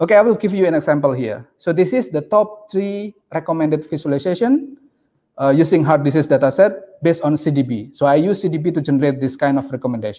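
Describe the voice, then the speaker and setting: With an Indonesian accent, a man speaks at a fairly quick pace in a fairly high voice, his tone dark and mellow and his intonation lively. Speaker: PhD researcher; presenter. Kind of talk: conference presentation. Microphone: video call.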